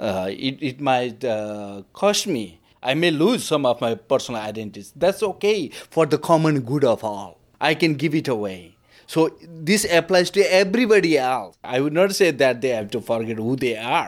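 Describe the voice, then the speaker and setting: A man with a Nepali accent speaks at a moderate pace and fairly high pitch, with very wide pitch swings. The recording is very clean, with a silent background. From Bhutan. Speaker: lay minister. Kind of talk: interview. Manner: halting.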